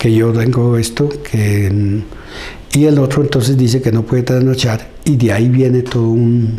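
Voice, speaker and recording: A man talks at a fairly slow pace with hardly any pauses, his medium pitch following fairly even intonation at very even loudness. Audible room echo and noticeable background noise surround him. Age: 60s. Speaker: community leader. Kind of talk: interview. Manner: halting.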